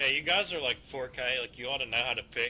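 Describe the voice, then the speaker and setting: A man talks with light background noise behind him. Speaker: online teammate. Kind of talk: in-game voice chat. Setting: online voice chat. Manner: laughs often, casual. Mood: mildly frustrated. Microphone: headset.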